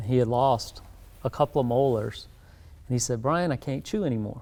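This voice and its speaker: This speaker has a South Carolina accent and a dark, mellow tone. The pace is fairly quick, with ordinary pitch variation. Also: man. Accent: US Southern (South Carolina). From South Carolina Lowcountry. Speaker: dentist. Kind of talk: interview.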